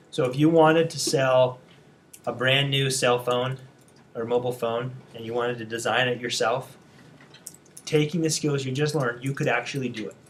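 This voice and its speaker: A man at medium pitch speaks with fairly even intonation and long, frequent pauses. His loudness swings widely, and the room echo is audible. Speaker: design instructor. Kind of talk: lecture. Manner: fast; casual.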